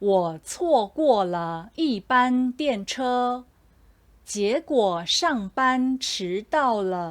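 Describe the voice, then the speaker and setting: A woman speaks very slowly in a high voice with a Taiwanese accent, her pitch swinging very widely. The recording is very clean, with a silent background. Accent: Taiwanese Mandarin. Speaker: Mandarin teacher; commercial narrator. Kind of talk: language lesson example sentences. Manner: slow, clear.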